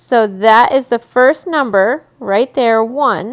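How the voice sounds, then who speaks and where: This woman has a plain, everyday voice. Her pitch is fairly high, with ordinary pitch variation. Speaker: teacher. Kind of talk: recorded math lesson video. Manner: repetitive counting aloud.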